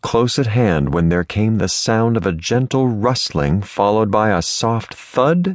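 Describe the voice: What we hear is someone reading aloud plainly.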